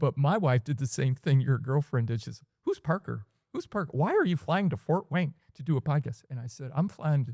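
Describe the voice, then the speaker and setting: In a very clean recording with a silent background, a man with a fairly high pitch and a dark, mellow, somewhat breathy tone talks at a fairly quick pace with lively intonation and hardly any pauses. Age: 60s. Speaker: life and leadership coach. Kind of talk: podcast interview.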